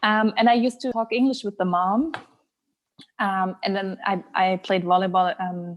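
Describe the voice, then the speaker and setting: The speech moves at a moderate pace. Pitch variation is ordinary. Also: woman, medium pitch for a woman. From southern Germany. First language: German. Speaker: blogger. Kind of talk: casual chat.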